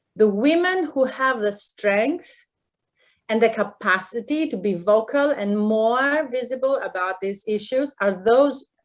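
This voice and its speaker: A woman speaks with a non-native accent at a fairly high pitch. Her pace is fairly slow and her intonation lively. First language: not English. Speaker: professor. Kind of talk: panel discussion. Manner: hesitant, many fillers.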